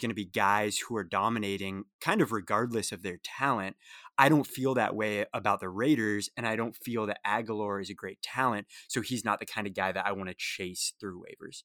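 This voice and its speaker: In a plain, everyday voice, a man speaks at a fairly low pitch with ordinary pitch variation. The recording is very clean, dry and close, with a silent background and no echo. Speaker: fantasy football analyst. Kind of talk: casual chat.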